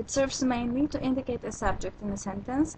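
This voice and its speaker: A high-pitched woman with a Polish accent. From Poland. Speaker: language teacher. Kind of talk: tutorial.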